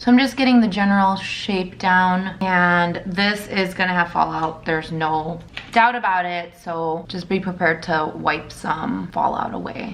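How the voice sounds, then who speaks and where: Talking at a fairly slow pace with hardly any pauses, a woman with a medium pitch is heard amid noticeable background noise and audible room echo. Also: ordinary pitch variation. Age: 30s. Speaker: beauty vlogger. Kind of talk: makeup tutorial. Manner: casual, chatty.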